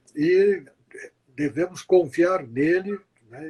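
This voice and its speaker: A man's high-pitched voice with fairly even intonation, in a dry, close sound with no echo. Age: 70s. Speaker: journalist. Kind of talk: closing remarks in interview. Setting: Instagram live. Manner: formal, earnest.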